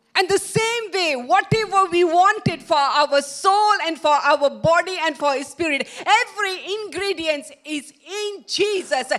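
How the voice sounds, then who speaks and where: A woman with an extremely high pitch talks very slowly, her pitch varying in an ordinary way. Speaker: preacher. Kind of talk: sermon. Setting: church with live stream. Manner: halting.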